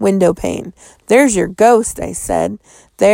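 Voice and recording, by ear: The background stays quiet as the text is read aloud in a natural voice.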